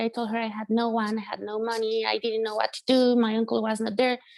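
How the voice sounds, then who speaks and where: In a Spanish accent, a woman speaks at a fairly high pitch with monotone, flat intonation. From Mexico, San Luis Potosi. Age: young. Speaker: musician and producer. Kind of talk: interview testimony. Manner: halting with fillers.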